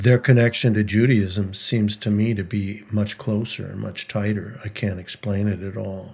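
In a very clean recording with a silent background, a man with an American accent talks at a moderate pace in a somewhat breathy, fairly low voice with monotone, flat intonation. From Minnesota, St. Louis Park. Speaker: singer-songwriter. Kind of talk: interview conversation.

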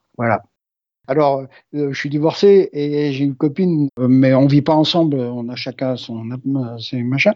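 With a fairly high pitch and ordinary pitch variation, a man speaks at a fairly slow pace, leaving long, frequent pauses. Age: 60s. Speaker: pilgrim. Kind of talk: testimony. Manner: halting.

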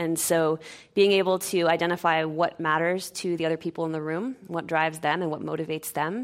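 A woman with a plain, everyday voice and an American accent talks at a fairly quick pace in a fairly low pitch. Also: very clean recording, silent background. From Maine, US. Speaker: corporate sustainability manager. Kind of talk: panel discussion.

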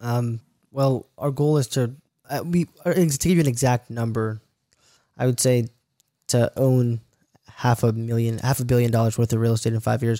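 At a moderate pace and medium pitch, a man with a dark, mellow tone speaks with fairly even intonation, very even loudness and long, frequent pauses. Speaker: real estate investor. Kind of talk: interview.

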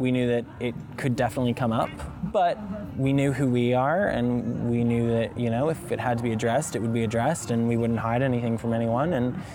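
The speech runs at a very fast pace with fairly even intonation and very even loudness over noticeable background noise. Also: man. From Alabama, Mountain Brook. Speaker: son of a senator. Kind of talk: interview. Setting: outdoors.

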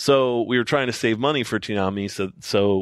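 Against a quiet background, a man talks in an unremarkable speaking voice with ordinary pitch variation. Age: 40s. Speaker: TV network creative director and anime producer. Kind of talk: casual chat. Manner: casual, frequent filler words.

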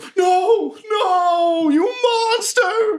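The voice is a put-on character. It sits at an extremely high pitch. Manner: gruff, indignant.

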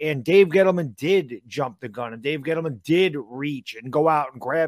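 This is an ordinary speaking voice, a man's, fairly high in pitch with lively intonation. The recording is very clean, with a silent background and a dry, close sound with no echo. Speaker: sports podcast co-host, entertainer. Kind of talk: casual sports talk show. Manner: casual, blunt.

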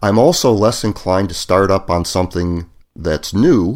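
In an ordinary speaking voice, a man talks fairly slowly at a fairly low pitch with ordinary pitch variation, on a very clean recording with a silent background. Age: 50s. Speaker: engineer and blogger. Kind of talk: casual chat.

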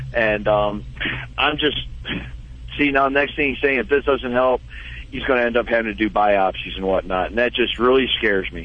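There is noticeable background noise as a man speaks with long, frequent pauses. His pitch is medium and moves with ordinary variation. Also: moderate pace. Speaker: caller, dog owner. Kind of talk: casual chat. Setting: phone call.

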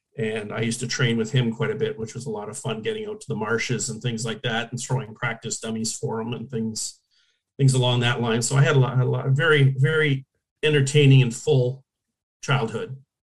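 At a fairly quick pace, a somewhat breathy voice with a Canadian accent speaks with fairly even intonation. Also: man, medium pitch for a man. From Hamilton, Ontario, Canada. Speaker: former hockey goalie. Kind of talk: interview.

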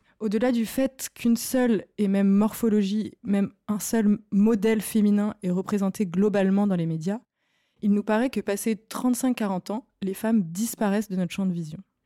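A woman speaks at a moderate pace in a medium pitch with a dark, mellow tone and fairly even intonation. The recording is very clean, with a silent background. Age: 30s. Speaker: podcast host, art director. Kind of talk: scripted narration; casual chat. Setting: studio.

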